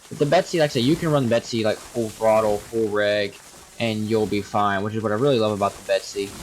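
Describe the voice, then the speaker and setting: With noticeable background noise behind him, a man speaks very fast at a fairly low pitch with ordinary pitch variation. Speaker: gaming youtuber. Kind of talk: gameplay commentary. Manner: casual, rambling.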